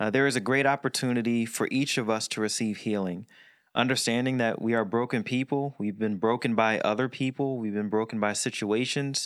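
On a very clean recording with a silent background, a man speaks at medium pitch. His pace is fairly quick. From Philadelphia area, US. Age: 40s. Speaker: podcast co-host. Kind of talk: casual chat. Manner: animated.

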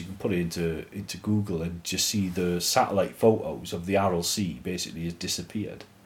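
Speaking with an English accent, a man uses a very deep, low pitch, ordinary pitch variation and a fairly quick pace. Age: 40s. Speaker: church podcast co-host. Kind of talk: casual chat.

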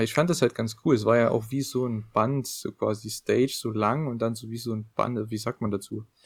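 A man with a normal speaking voice at medium pitch, fairly even intonation and hardly any pauses. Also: moderate pace. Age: young. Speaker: wrestling podcast co-host. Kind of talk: casual chat.

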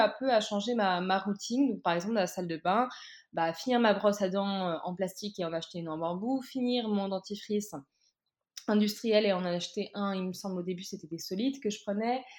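Over a quiet background, a woman speaks at a moderate pace in a medium pitch with ordinary pitch variation. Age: 20s. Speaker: recent master's graduate, zero-waste Instagram creator. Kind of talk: casual interview. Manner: halting, many fillers.

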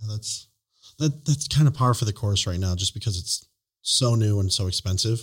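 A somewhat breathy man at medium pitch and moderate pace, in a very clean recording with a silent background. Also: ordinary pitch variation. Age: 30s. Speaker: podcast host. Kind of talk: casual interview.

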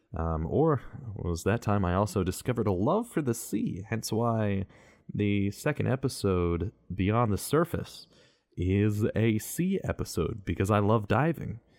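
At a fairly slow pace and very even loudness, a man with fairly low pitch speaks on a very clean recording with a silent background. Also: lively intonation. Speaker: podcast host and voice actor. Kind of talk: personal monologue. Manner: mellow; varied inflections.

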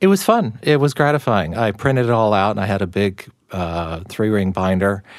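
With an American accent, a man talks at a moderate pace and fairly low pitch in an ordinary speaking voice with ordinary pitch variation. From Texas. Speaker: writer and music critic. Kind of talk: interview.

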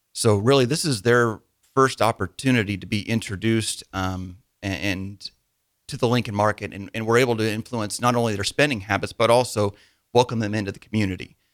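With a Midwestern American accent, a man talks at a fairly quick pace in a fairly low pitch and fairly even intonation, recorded very cleanly against a silent background with a dry, close sound and no echo. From Nebraska, small town. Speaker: small business owner. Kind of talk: radio interview. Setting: studio.

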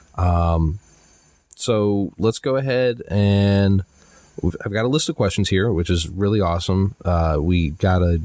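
Here a man speaks at a moderate pace with a very deep, low pitch. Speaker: podcast co-host, tabletop gaming fan. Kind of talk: casual chat. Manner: stuttering at times.

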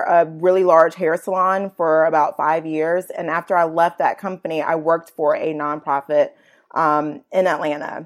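A woman with an American accent at a moderate pace, on a very clean recording with a silent background. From Virginia, US. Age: 30s. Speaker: nonprofit co-founder and blogger. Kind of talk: interview. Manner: casual with frequent fillers.

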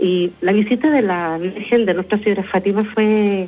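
A woman speaks at a medium pitch with a Chilean accent. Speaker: parish pastoral worker. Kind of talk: live radio interview.

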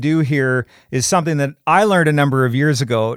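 On a very clean recording with a silent background, a man with an ordinary speaking voice talks fairly quickly at a fairly high pitch with ordinary pitch variation. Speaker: podcast host. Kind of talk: interview, conversational podcast.

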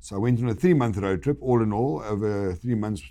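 Against a quiet background, a man with a South African accent speaks in a fairly low pitch with a dark, mellow tone and ordinary pitch variation. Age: 60s. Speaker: guest; wooden flooring businessman and biker. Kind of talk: casual interview chat.

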